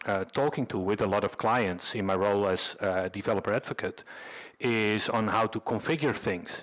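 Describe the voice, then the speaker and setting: This man has a fairly low pitch. He speaks with a Dutch accent. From Netherlands. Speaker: conference speaker, developer advocate. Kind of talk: conference talk. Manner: halting, many fillers.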